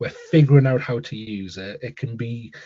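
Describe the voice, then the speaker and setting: Using ordinary pitch variation, a man speaks in a Newcastle accent. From northern England, Newcastle. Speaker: school leader and author, keynote speaker. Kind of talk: interview. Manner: repetitive false starts.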